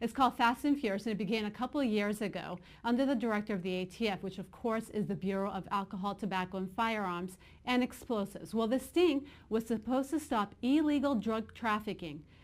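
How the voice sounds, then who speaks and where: Very fast speech comes from a woman in a very clean recording against a silent background. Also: fairly high pitch for a woman, ordinary pitch variation. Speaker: online news show host. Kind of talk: news commentary. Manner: halting, with false starts.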